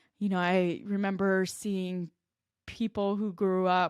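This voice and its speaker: On a very clean recording with a silent background, a woman with a slight Minnesota accent speaks at a medium pitch and a fairly slow pace, in monotone, flat intonation. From Minnesota, US. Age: 20s. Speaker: podcast host and life coach. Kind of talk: personal storytelling podcast.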